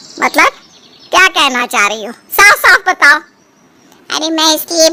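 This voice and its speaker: Delivered at a moderate pace, this put-on character voice is squeaky and swings very widely in pitch. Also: woman. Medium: read story.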